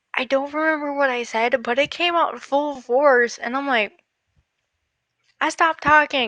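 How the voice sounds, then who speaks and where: In an American accent, a woman projects a raised, high-pitched voice with a bright, sharp tone, and the sound is dry and close with no echo. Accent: southern US, comes out at times. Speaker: livestream guest. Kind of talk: casual chat.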